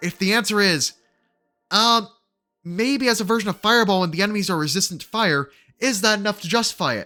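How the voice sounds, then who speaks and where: With music in the background, a man uses a raised, projected voice, high in pitch, moving at a fairly quick pace. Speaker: gaming guide youtuber. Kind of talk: tutorial. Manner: fast.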